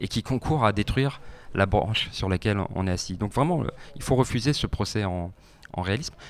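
A man with a fairly low pitch speaks at a moderate pace, the sound dry with no echo and light noise in the background. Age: 30s. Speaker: politician, party spokesperson; guest. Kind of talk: radio interview. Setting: radio studio. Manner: hesitant, many fillers. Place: studio. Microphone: handheld.

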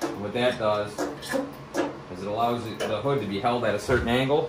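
Loud background noise surrounds the recording. A man speaks with ordinary pitch variation. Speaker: tractor owner showing a repair. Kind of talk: tutorial. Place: garage. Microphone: phone near.

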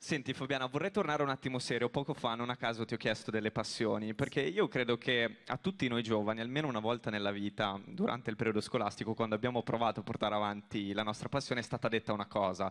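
Very fast, with hardly any pauses, a man talks with ordinary pitch variation. The background is quiet. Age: 20s. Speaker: radio presenter. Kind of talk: stage interview. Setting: stage with audience. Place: stage. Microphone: handheld.

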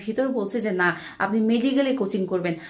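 A woman speaks with a fairly high pitch and lively intonation against a quiet background. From Bangladesh. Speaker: motivational speaker. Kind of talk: motivational talk. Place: home room. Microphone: phone near.

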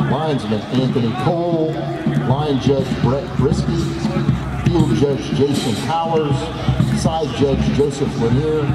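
A man's very slow speech with long, frequent pauses over loud background noise. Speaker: stadium announcer. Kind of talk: public address announcement. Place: stadium.

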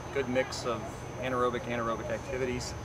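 Loud background noise fills the clip. A man speaks with a dry sound and no echo. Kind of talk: interview answer. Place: open country.

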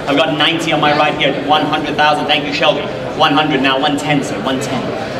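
A man's fairly high, monotone, flat voice at a fairly slow pace over loud background noise. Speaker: auctioneer. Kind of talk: auction bid calling. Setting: auction hall with live audience and running engine. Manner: urgent, coaxing crowd to keep bidding. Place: hall.

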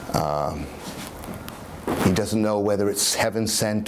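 Through noticeable background noise comes a man's voice at a fairly low pitch. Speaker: dramatic reader introducing a poem. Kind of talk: casual spoken introduction to a reading, hesitant with fillers. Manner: conversational, hesitant. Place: home room. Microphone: camera far.

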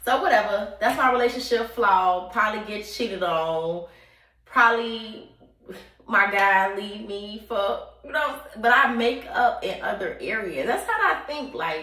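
A woman at a fairly slow pace, with very wide pitch swings, big swings in loudness and audible room echo. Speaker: vlogger. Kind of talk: casual vlog chat. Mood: candid, playful. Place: bathroom. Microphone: phone near.

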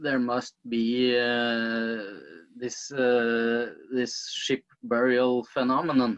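The voice has a Norwegian accent and monotone, flat intonation at a very slow pace. The background is quiet. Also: man. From Norway. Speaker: archaeologist; guest. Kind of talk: interview. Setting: video call. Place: home room. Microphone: video call.

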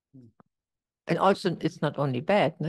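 A woman speaks with a German accent. The background is quiet. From Germany. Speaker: retreat participant. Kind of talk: question and answer session. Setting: video call. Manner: halting. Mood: calm, reflective. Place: home room. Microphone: lapel.

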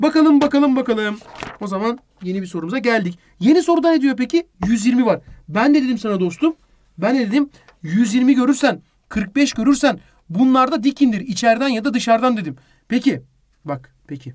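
A man talks in an extremely high voice with an animated tone. His intonation is lively. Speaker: math teacher. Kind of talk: lecture. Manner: fast.

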